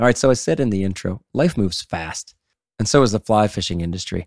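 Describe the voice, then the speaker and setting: A man with a fairly low pitch speaks at a moderate pace with lively intonation. The sound is dry and close with no echo, on a very clean recording with a silent background. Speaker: fly fishing podcast host. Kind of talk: casual group chat.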